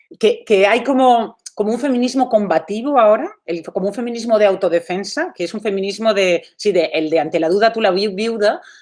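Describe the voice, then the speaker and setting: At a moderate pace with hardly any pauses, a woman uses an unremarkable speaking voice with ordinary pitch variation. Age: 40s. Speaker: artist. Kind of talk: talk. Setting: video call.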